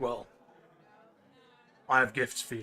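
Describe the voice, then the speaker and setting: Using a put-on character voice, a man sounds raspy. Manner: speaking with mouth full, chewing.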